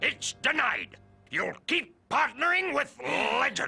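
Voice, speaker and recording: A raspy, cartoonish character voice at a fairly slow pace, with faint music in the background. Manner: brisk, commanding.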